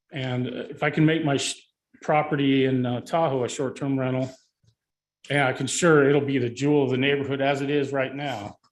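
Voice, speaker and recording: A fairly high-pitched man at a moderate pace. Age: 60s. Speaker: public commenter, homeowner. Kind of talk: public comment at board meeting. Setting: county board meeting. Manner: halting, many fillers.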